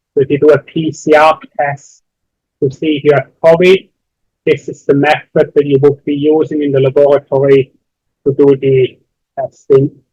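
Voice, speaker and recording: This man has a fairly high pitch and a dark, mellow tone that is somewhat breathy. His intonation is monotone and flat, and the sound is dry and close with no echo. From Switzerland. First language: not English. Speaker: university lecturer. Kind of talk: lecture. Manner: slow, deliberate.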